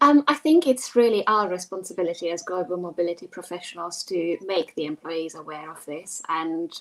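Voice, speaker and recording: Against noticeable background noise, a woman with fairly low pitch talks at a moderate pace. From Hungary. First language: Hungarian. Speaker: global mobility professional. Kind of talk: panel discussion.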